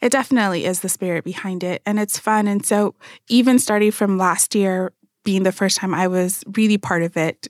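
A normal speaking voice with an American accent and fairly even intonation comes through dry and close with no echo, on a very clean recording with a silent background. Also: woman, medium pitch for a woman, fairly quick pace. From Phoenix, Arizona (born in Nigeria). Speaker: event planner and marketer. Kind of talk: radio interview panel. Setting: radio studio.

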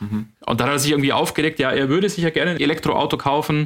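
Very rapid speech from a man, his pitch fairly high and his pitch variation ordinary. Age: 30s. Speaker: hydrogen vehicle test engineer and podcaster. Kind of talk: casual expert discussion.

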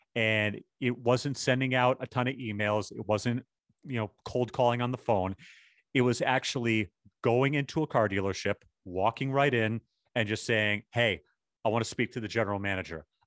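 A man with a normal speaking voice and an American accent talks at medium pitch and a moderate pace. His intonation is fairly even, and the background is quiet. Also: dry, close sound with no echo. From Boston. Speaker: marketing agency owner. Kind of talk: interview.

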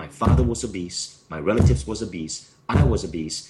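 A man speaks with a Malaysian accent. His pace is fairly quick. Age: 40s. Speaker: author and company founder. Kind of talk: interview.

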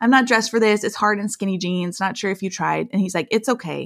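Speaking with an American accent, a woman uses a medium pitch, ordinary pitch variation and some vocal fry at a fairly quick pace. The recording is very clean with a silent background. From Iowa, US Midwest. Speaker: author and blogger. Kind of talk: casual interview chat.

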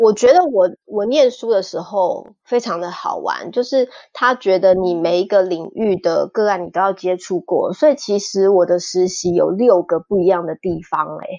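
Speaking with hardly any pauses, a woman uses a plain, everyday voice at medium pitch and a moderate pace, with ordinary pitch variation. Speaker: music therapist. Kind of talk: interview.

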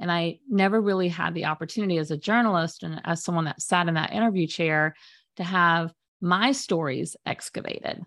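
A woman speaks in a normal speaking voice at a fairly quick pace, with ordinary pitch variation. The background is quiet. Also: fairly low pitch for a woman. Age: 50s. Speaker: media specialist and former journalist. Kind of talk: interview.

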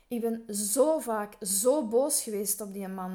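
A woman's voice has a fairly high pitch, a dark, mellow tone and ordinary pitch variation. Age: 40s. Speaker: fashion sector worker. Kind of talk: interview. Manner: hesitant, many fillers.

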